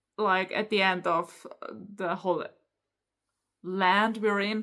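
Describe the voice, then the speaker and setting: A woman with a German accent at a fairly slow pace, in a very clean recording with a silent background. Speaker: book YouTuber. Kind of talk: casual book review, unscripted. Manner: halting, stumbles over words.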